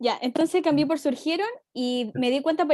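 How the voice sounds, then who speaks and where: A woman talks with ordinary pitch variation. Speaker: university student. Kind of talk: class discussion. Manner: fast.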